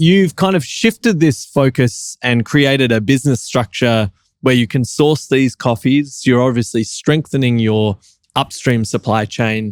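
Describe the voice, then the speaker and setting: A man uses an ordinary speaking voice at a medium pitch and a fairly slow pace, with ordinary pitch variation and very even loudness. The sound is dry and close, with no echo. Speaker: coffee competition judge and podcast host. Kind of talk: podcast interview host talk.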